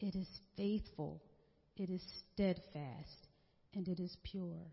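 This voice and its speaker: A woman's somewhat breathy voice. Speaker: worship service leader. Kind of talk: prayer and announcements. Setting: church.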